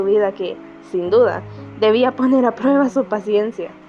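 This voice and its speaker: Music plays in the background while a woman talks at a moderate pace. Her voice is fairly high, with ordinary pitch variation. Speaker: amateur narrator. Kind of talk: audiobook narration. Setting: home recording, poor microphone.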